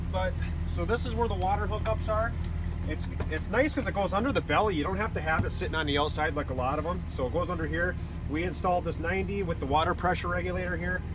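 With music in the background, the speech goes by very fast. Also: man. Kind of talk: casual tour explanation. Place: open country.

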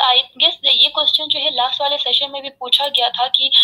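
The voice holds a moderate pace. Its intonation stays fairly even. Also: woman. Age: 20s. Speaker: religious community member. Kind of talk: heated debate; heated debate argument. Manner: loud. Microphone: video call.

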